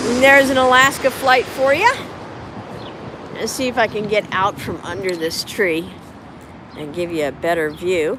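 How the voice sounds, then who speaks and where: Pitch swings very widely at a moderate pace, broken by long, frequent pauses over noticeable background noise. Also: woman, medium pitch for a woman. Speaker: live-stream plane spotting host. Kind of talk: live stream commentary. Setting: outdoors beside airport runways. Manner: loud after putting earplugs in.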